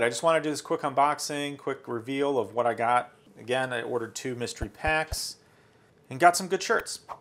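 A man's plain, everyday voice, fairly quick pace and ordinary pitch variation. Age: 40s. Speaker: tech youtuber; product reviewer. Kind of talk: unboxing video. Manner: casual, with fillers.

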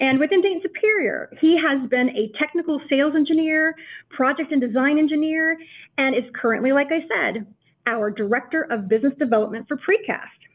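A high-pitched woman speaking at a fairly quick pace. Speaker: webinar host. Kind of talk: presentation introduction. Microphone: video call.

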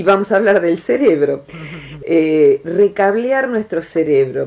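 In an Argentine accent, a woman talks at a fairly slow pace. Her tone is dark and mellow, and her intonation lively. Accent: Argentine Rioplatense. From Argentina. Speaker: radio host, national broadcaster. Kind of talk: radio interview host. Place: studio.

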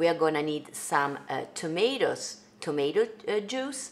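In an Italian accent, a woman talks at a moderate pace. Her pitch swings very widely. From Italy, Venice. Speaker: singer and songwriter hosting a cooking livestream. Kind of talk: casual livestream cooking tutorial. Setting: home kitchen livestream. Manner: animated. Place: kitchen.

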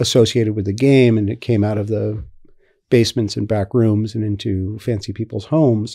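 Over a quiet background, a man speaks at a moderate pace. His tone is dark and mellow. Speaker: podcast guest. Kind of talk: interview answer. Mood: relaxed, amused storytelling. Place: home room. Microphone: studio mic.

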